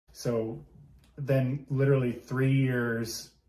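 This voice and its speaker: In a room with audible echo, a man speaks at a medium pitch with fairly even intonation. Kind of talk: casual chat. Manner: loud; hesitant, many fillers.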